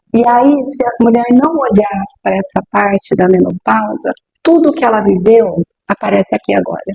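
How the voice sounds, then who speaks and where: A plain, everyday voice from a woman, fairly high-pitched, moderately paced, with lively intonation. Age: 60s. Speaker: sexologist. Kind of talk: interview.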